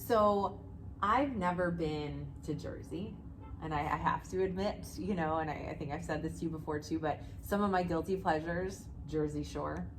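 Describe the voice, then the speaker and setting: Music plays in the background as a woman speaks at a moderate pace with audible room echo. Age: 40s. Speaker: podcast host and jiu jitsu gym owner. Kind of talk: casual interview chat.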